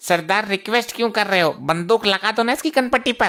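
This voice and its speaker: A man's cartoonish character voice, raised and projected, high in pitch, very fast and very even in loudness. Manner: cheeky, sarcastic.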